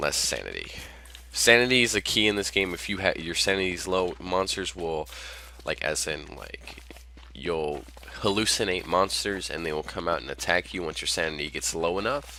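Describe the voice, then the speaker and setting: Noticeable background noise beneath speech with lively intonation. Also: man, very deep, low pitch for a man. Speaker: gaming youtuber. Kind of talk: gameplay commentary. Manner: fast.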